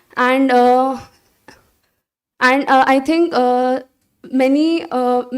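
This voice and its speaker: A woman with a Marathi accent speaks at a very slow pace in a high voice, pausing long and often. Her intonation stays fairly even. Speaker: college staff member. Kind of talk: speech.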